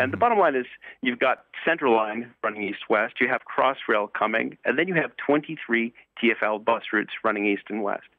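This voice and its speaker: Using a medium pitch with ordinary pitch variation, a man talks at a moderate pace. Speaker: radio interview guest, campaigner. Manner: emphatic, repeats "the bottom line is".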